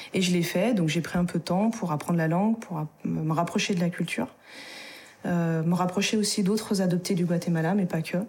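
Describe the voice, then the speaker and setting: A woman speaks at a moderate pace and a fairly low pitch, with very even loudness and fairly even intonation. Noticeable background noise runs underneath. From France, Isère. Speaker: adoptee and adoptee association member. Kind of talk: testimony.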